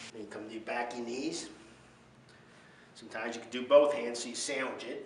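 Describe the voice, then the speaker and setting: A man talks at a fairly quick pace and medium pitch in a monotone, flat way, with big swings in loudness, audible room echo and noticeable background noise. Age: 60s. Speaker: fitness instructor. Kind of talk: tutorial. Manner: casual.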